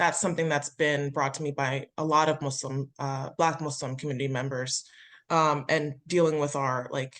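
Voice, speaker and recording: Speaking with an American accent, a woman has a very deep, low pitch and monotone, flat intonation. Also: moderate pace. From US, Delaware suburbs. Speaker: state legislator, webinar panelist. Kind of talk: webinar panel discussion.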